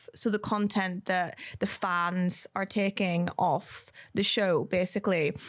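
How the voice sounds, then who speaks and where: Recorded very cleanly with a silent background, a woman speaks at a very slow pace with a medium pitch, fairly even intonation and very even loudness. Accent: Northern Irish. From Northern Ireland. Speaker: podcast host and company CEO. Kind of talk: casual podcast chat.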